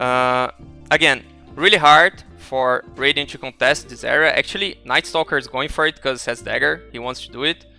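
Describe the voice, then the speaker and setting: A speaker with a non-native accent talks at a moderate pace with ordinary pitch variation over music in the background, the sound dry and close with no echo. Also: man, fairly high pitch for a man. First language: not English. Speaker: esports coach. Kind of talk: game analysis commentary.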